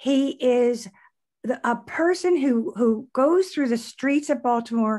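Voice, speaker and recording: Speech comes at a very slow pace over a quiet background. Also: woman. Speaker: interviewer, host. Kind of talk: interview introduction. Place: home room. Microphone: video call.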